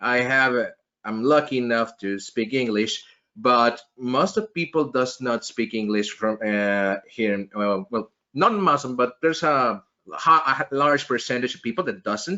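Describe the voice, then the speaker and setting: In a Mexican accent, a man with a medium pitch speaks at a fairly slow pace with lively intonation. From Mexico. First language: Spanish. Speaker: podcast host, network engineer. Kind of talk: interview.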